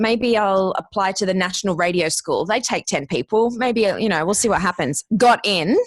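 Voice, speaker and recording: In an Australian accent, the speaker goes at a moderate pace with ordinary pitch variation and very even loudness, on a very clean recording with a silent background and a dry, close sound free of echo. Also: woman, medium pitch for a woman. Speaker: podcast producer and former radio host. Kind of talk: interview, casual chat.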